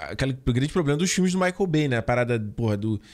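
Very wide pitch swings mark this man's speech. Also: quiet background. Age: 30s. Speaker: film podcast co-host. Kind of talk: casual chat. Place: home room. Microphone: studio mic.

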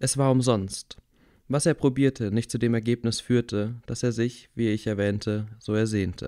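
A man with a plain, everyday voice and a medium pitch talks at a moderate pace in a dry, close sound with no echo. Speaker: audiobook reader. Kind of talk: rhythmic rhymed children's story reading, sing-song verse. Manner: bedtime-story tone, warm and gently theatrical.

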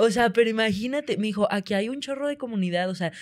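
An unremarkable speaking voice moves at a fairly quick pace. Its intonation is lively. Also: woman. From Monterrey, northern Mexico. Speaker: comedian. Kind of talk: casual chat.

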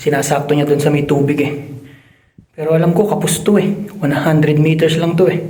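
A man with a fairly high voice speaks at a moderate pace with fairly even intonation, in a room with audible echo. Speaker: vlogger, overseas worker. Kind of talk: casual vlog narration. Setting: inside a cave.

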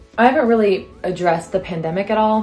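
Faint background music can be heard. Over it, a woman talks. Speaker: vlogger. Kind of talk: casual vlog chat. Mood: chatty, wry. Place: home room. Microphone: phone near.

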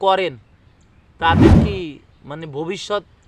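A man talks with a high pitch. Noticeable background noise sits behind him. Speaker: news commentary video creator. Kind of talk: casual commentary. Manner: animated.

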